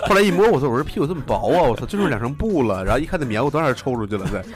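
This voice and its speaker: Over noticeable background noise, a man talks at a very fast pace in a fairly high voice with very wide pitch swings. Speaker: podcast host. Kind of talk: casual chat. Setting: studio.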